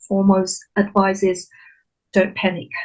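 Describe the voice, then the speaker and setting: A woman speaks at a fairly slow pace, her voice somewhat breathy. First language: not English. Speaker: recent graduate sharing exam tips. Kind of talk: online webinar Q&A.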